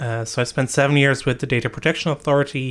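A man talks with a Dutch accent in a monotone, flat intonation. The recording is very clean, with a silent background. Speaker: data protection lead and podcast host. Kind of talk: interview. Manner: halting, many fillers.

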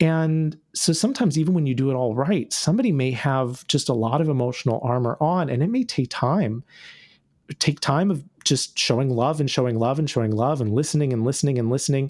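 With a normal speaking voice and an American accent, the speaker moves at a fairly quick pace, with ordinary pitch variation and very even loudness. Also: man, fairly high pitch for a man. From North Carolina, US South. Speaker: author and activist. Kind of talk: interview conversation. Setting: remote call.

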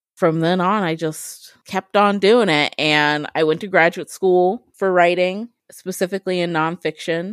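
A woman with a Midwestern US accent speaks at a fairly slow pace with hardly any pauses, her pitch fairly low and her intonation fairly even. The sound is dry and close with no echo, a very clean recording against a silent background. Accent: US Midwest. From Ohio, Columbus. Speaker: author. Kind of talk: interview.

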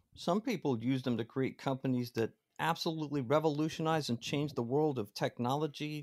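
In a very clean recording with a silent background and a dry, close sound with no echo, a man with a fairly high pitch talks at a fairly quick pace in an unremarkable speaking voice. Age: 40s. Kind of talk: casual chat.

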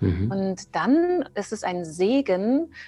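A woman's voice at a medium pitch. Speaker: trauma therapist. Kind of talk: interview.

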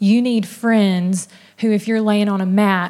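Here is a woman with an ordinary speaking voice. Her pitch is medium and her intonation fairly even. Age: 30s. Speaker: church women's event leader. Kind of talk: sermon. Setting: church with audience.

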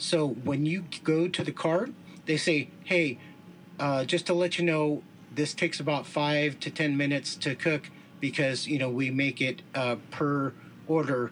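Fairly high in pitch for a man, this American-accented man talks in an ordinary speaking voice at a fairly slow pace with fairly even intonation. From Southern California. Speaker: food reviewer. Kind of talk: casual chat.

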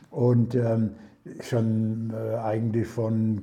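Speaking very slowly, a man has a medium-pitched, dark, mellow, somewhat breathy voice. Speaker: retired master baker. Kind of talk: casual interview. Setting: at home over prosecco. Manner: halting, many fillers.

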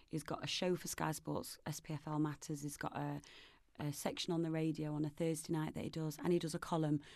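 Against a quiet background, a woman with a Nottingham accent speaks at a fairly quick pace in a very deep, low voice with monotone, flat intonation. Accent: Nottingham East Midlands English. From Nottingham, England. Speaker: film producer and charity campaigner. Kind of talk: casual interview chat.

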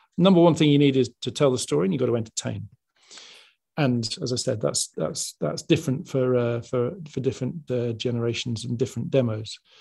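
Fairly quick, somewhat breathy speech in a dark, mellow tone, with an English accent and ordinary pitch variation. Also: man, medium pitch for a man. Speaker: sports television executive. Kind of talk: interview.

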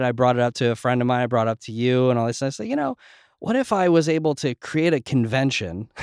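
In an ordinary speaking voice with an American accent, a man of medium pitch talks at a fairly quick pace with ordinary pitch variation, recorded very cleanly against a silent background with a dry, close sound and no echo. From New Jersey / New York. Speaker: former music industry rep, startup advisor. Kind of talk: casual interview conversation. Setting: in-person podcast studio.

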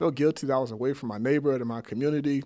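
At a very fast pace, a man with an American accent talks at medium pitch with ordinary pitch variation. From Sacramento, California. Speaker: nonprofit CEO. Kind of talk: interview.

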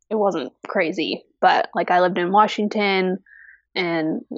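A woman speaks at a moderate pace and medium pitch, with ordinary pitch variation. She has an unremarkable speaking voice. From US, army family, moved around. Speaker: fiber artist. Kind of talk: casual interview. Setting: video call.

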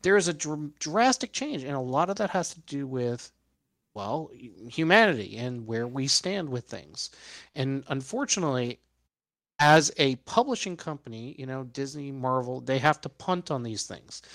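Using a normal speaking voice, a man with an American accent talks at a moderate pace in a fairly high pitch, with lively intonation and big swings in loudness. The recording is very clean, with a silent background. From New York City. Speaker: toy collector. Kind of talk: casual chat.

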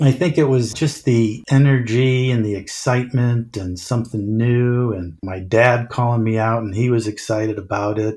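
A man with a plain, everyday voice speaks in an American accent at a moderate pace and a medium pitch. His pitch varies in an ordinary way, and there are hardly any pauses. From central Illinois. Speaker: music store district manager. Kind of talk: interview.

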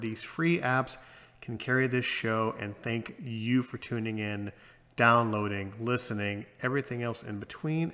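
The man's tone is bright and sharp. He talks at a fairly slow pace. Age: 40s. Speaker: podcast host.

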